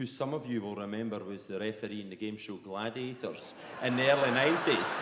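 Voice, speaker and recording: Speaking very fast with a strong Perthshire accent, a man at medium pitch comes through with audible room echo and noticeable background noise. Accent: broad Perthshire Scottish. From Scotland, Perthshire. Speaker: comedian. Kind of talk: stand-up. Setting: stage with audience. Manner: animated.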